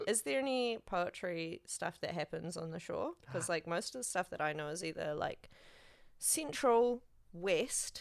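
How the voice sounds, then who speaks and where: The speaker talks at a fairly slow pace with a New Zealand accent. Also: woman, medium pitch for a woman, lively intonation. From New Zealand, Auckland. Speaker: podcast host. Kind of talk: casual interview chat.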